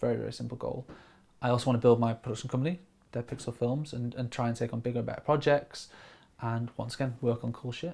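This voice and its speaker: Speaking at a very fast pace in a Lincolnshire accent, a man has a dark, mellow, somewhat breathy tone at a medium pitch with monotone, flat intonation. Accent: northern English (Lincolnshire). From Grimsby, east coast of England. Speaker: camera operator and video director. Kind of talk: casual interview.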